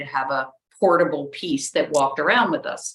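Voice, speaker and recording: With lively intonation and a plain, everyday voice, a woman speaks at a moderate pace. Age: 60s. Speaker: architect. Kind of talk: interview.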